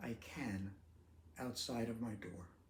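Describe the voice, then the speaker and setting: This man speaks at a very slow pace, somewhat breathy, at a medium pitch. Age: 70s. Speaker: retired teacher with ALS sharing his story. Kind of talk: personal video talk.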